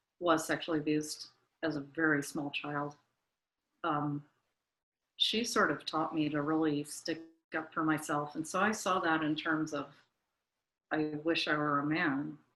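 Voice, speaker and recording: A woman with an American accent speaks at a fairly slow pace against a quiet background, with long, frequent pauses. Her very deep, low voice keeps a fairly even intonation. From US South. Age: 60s. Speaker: interviewee. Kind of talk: interview.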